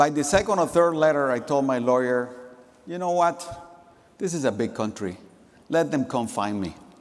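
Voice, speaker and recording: A man with a Central American Spanish accent, fairly high in pitch, at a moderate pace, with very wide pitch swings, long, frequent pauses and audible room echo. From Nicaragua. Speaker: company executive. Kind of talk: conference keynote speech. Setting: stage with audience.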